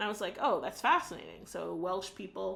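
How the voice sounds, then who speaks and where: A woman with an American accent, an unremarkable speaking voice, medium pitch and a moderate pace. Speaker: book reviewer. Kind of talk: video book review monologue. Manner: casual, with frequent fillers.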